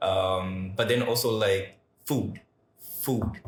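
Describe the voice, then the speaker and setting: With fairly even intonation, a man talks in a somewhat breathy voice. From Malawi. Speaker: podcast host. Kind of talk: casual chat.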